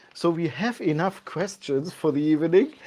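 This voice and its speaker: A woman with a German accent speaks at a fairly low pitch. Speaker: channel host. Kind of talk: live tasting chat. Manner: halting.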